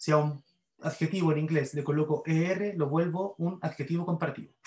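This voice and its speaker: The speaker talks at a fairly quick pace with a Chilean accent and monotone, flat intonation. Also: man, fairly high pitch for a man. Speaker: university English grammar teacher. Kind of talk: lecture.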